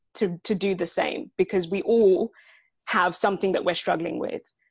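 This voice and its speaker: A woman speaks at a medium pitch with a British accent. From UK, adopted from Sierra Leone at three. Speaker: head of people at a tech startup. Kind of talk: podcast interview.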